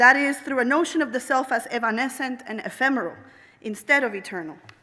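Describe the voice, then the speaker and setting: Speaking in a Spanish accent, a woman with a high pitch uses a raised, projected voice, lively intonation and a fairly quick pace. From Puerto Rico. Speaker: professor, anthropologist. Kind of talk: commencement address. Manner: formal.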